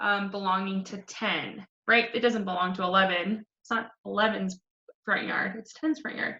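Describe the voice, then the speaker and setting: With an unremarkable speaking voice, a woman of medium pitch talks at a moderate pace, her intonation fairly even while her loudness swings widely. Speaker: elementary school teacher. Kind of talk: tutorial.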